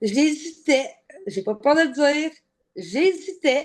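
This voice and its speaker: Over a quiet background, a woman with a Quebec accent speaks at a very slow pace with a high pitch and lively intonation. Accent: Québécois French. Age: 30s. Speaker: weight-loss program client. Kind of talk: interview. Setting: video interview. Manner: casual.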